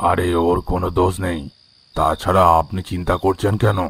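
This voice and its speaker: In a cartoonish character voice, a man speaks at a moderate pace with a very deep, low pitch. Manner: terse, low-key.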